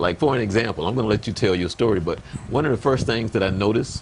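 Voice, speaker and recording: At a fairly quick pace and fairly low pitch, a man talks through noticeable background noise. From US South. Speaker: pastor and interview show host. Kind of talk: interview. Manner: halting.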